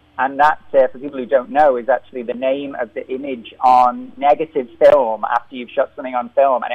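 In a Liverpool accent, a man talks at a moderate pace. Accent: Liverpool (Scouse). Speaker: film director. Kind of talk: interview. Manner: halting.

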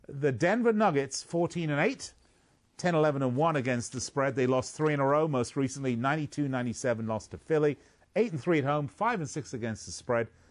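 With an ordinary speaking voice, a man talks at a moderate pace in a fairly high pitch with lively intonation against a quiet background. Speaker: sports betting radio host. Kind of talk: sports radio talk. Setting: radio studio. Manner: jokey, playful.

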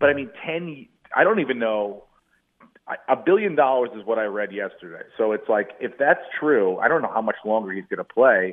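With lively intonation, a man speaks at medium pitch in an ordinary speaking voice. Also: moderate pace. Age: 40s. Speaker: comedian. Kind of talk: casual interview chat, telling stand-up anecdotes.

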